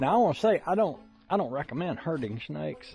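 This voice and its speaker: A man speaks with a Southern US accent. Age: 60s. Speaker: YouTuber. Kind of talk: casual vlog monologue. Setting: outdoors.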